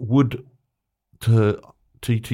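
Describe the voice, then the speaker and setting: A man's dark, mellow tone with an Australian accent. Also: very clean recording, silent background. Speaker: fraud analyst guest. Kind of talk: casual interview chat. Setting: studio.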